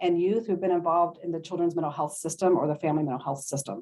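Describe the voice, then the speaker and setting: A woman's voice with a dark, mellow tone. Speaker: social worker and trauma-informed care program leader. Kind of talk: panel presentation. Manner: fast.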